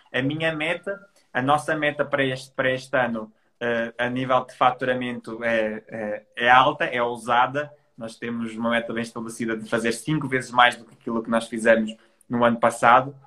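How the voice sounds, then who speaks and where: A man with a plain, everyday voice talks at a moderate pace and medium pitch, with fairly even intonation but big swings in loudness. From Portugal, Trás-os-Montes. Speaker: digital entrepreneur. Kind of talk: casual interview. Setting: Instagram live.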